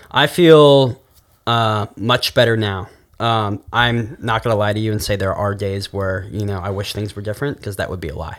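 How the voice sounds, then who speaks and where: A man talks at a moderate pace in a fairly low pitch. His is an unremarkable speaking voice. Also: ordinary pitch variation. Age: 20s. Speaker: podcast guest, former web show host. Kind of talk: casual chat.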